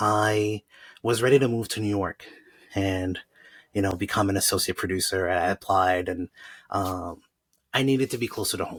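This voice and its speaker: A man's fairly low, somewhat breathy voice at a moderate pace, with fairly even intonation, long and frequent pauses, and a dry, close sound with no echo on a very clean recording with a silent background. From Montreal, Quebec (Haitian family). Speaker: journalist. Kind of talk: podcast interview.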